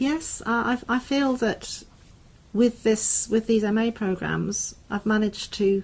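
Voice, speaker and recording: A woman's somewhat breathy voice in a southern English accent, with fairly even intonation. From southern England. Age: 60s. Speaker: university lecturer. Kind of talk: interview conversation.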